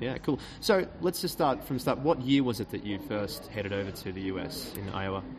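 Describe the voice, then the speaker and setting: In a plain, everyday voice, a man with a fairly low pitch talks at a moderate pace with lively intonation and hardly any pauses. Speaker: podcast host. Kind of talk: interview; scripted narration. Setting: restaurant, recorded live.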